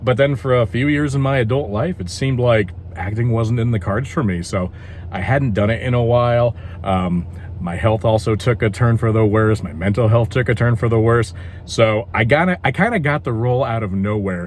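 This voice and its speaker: A man talks in a plain, everyday voice at medium pitch. His pace is moderate and his pitch variation ordinary. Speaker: voice actor. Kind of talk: casual talk to camera.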